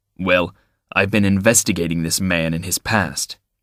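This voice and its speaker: A man's put-on character voice, very deep and low in pitch, growling, with fairly even intonation. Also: moderate pace, dry, close sound with no echo. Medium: read story. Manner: rough, sharp, unpleasant.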